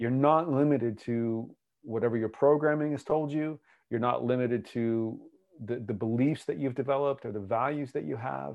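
Here a man speaks in a normal speaking voice with an American accent. His medium pitch shows ordinary pitch variation. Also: moderate pace. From US. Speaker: podcast co-host and relationship coach. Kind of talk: casual podcast conversation. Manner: laughing, playful.

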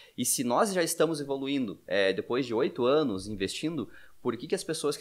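Over a very clean recording with a silent background, a man in a normal speaking voice talks fairly quickly with lively intonation. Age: 30s. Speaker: podcast host, financial educator. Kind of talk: casual chat.

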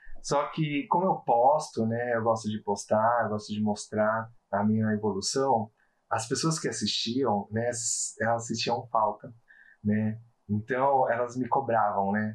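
With a plain, everyday voice, a man speaks at medium pitch and a fairly slow pace, his intonation fairly even, over a quiet background. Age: 30s. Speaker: quality inspector sharing weight-loss story. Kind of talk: interview, personal testimony.

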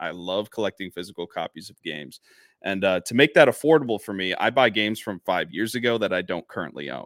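A man speaks at a very fast pace in a fairly low pitch with lively intonation. The recording is very clean and the background silent. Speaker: podcast co-host. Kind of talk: casual chat.

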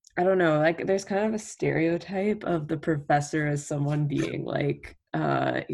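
Delivered at a fairly slow pace, the voice has vocal fry, a slightly mellow tone and fairly even intonation.

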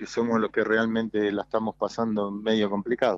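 With a Rioplatense accent, a man of medium pitch speaks at a moderate pace, the sound dry and close with no echo. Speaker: former footballer and coach. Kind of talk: radio interview.

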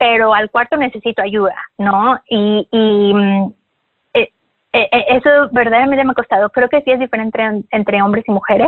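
Ordinary pitch variation and a fairly slow pace from a woman pitched fairly high. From Mexico. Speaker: yoga teacher. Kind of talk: interview.

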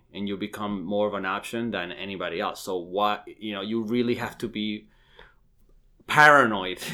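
A man with an unremarkable speaking voice, fairly low in pitch, at a fairly quick pace. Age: 30s. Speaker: real estate agent. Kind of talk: casual chat.

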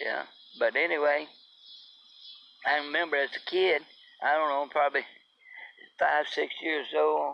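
A man's fairly high pitch with vocal fry, a fairly slow pace and long, frequent pauses. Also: fairly even intonation.

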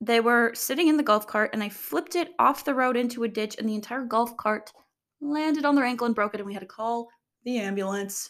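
The speaker is a woman with a high pitch. Her tone is animated. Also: very clean recording, silent background. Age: 20s. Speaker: content creator and podcast host. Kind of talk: casual solo monologue. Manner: rambling, filler-heavy, animated.

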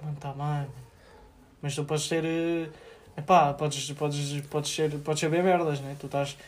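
A man speaks at a moderate pace and fairly high pitch, somewhat breathy and in a monotone, flat intonation. He leaves long, frequent pauses. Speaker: podcast co-host. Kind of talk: casual chat.

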